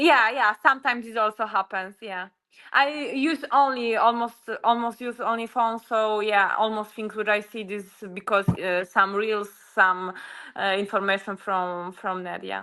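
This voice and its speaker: A woman with a fairly high pitch, ordinary pitch variation and big swings in loudness, against a quiet background. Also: moderate pace. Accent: Polish. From Poland. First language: Polish. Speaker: UFC fighter. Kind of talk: interview. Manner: halting.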